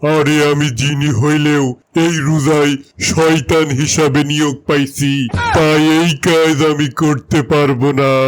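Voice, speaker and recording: In a cartoonish character voice, a man speaks at a fairly slow pace with a fairly high pitch and flat, monotone intonation. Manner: casual, rustic dialect.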